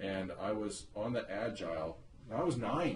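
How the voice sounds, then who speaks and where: The intonation here is lively. The voice sounds somewhat breathy. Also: man. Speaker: interviewer, son of the subject. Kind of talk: casual conversation, oral history interview.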